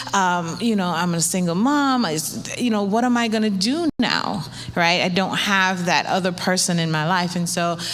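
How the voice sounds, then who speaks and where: A woman talks at a moderate pace with a medium pitch, hardly any pauses and very even loudness. Audible room echo and noticeable background noise fill the recording. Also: ordinary pitch variation. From New York, born in Saint Vincent (Caribbean). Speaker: church panelist, mother. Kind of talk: panel testimony. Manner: conversational, with frequent fillers.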